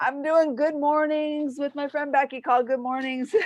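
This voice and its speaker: A high-pitched woman speaks loudly at a moderate pace. Her tone is animated. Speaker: business owner and show host. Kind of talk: casual chat.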